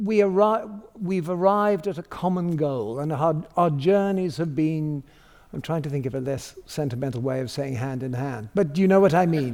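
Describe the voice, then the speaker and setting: Using an ordinary speaking voice, a man talks at a moderate pace in a fairly high pitch with lively intonation. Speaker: theatre director. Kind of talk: interview.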